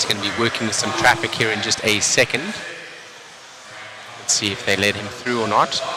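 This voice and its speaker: A man with a South African accent talks at a fairly quick pace with a fairly low pitch and monotone, flat intonation. Long, frequent pauses break up his speech amid noticeable background noise. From South Africa, Cape Town. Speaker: RC race commentator. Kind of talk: live commentary; casual chat with viewers. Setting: live stream.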